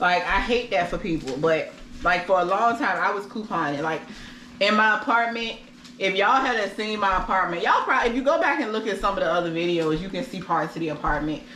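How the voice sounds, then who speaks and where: Lively and very fast, a woman at a medium pitch speaks over noticeable background noise with audible room echo. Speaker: vlogger. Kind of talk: casual chat. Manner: loud.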